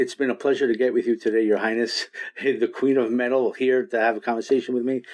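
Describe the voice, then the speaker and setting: A man with a New York accent talks at a very fast pace in a medium pitch. His loudness stays very even and his intonation is monotone and flat. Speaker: radio host. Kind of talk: radio interview. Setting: Skype call.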